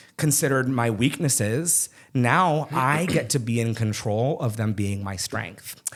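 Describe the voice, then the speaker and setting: On a very clean recording with a silent background, a man speaks very slowly at a medium pitch with ordinary pitch variation. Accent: American. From Arizona (Phoenix), from age 8. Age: 30s. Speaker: drag queen and emcee. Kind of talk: casual interview chat. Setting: podcast recording on camera.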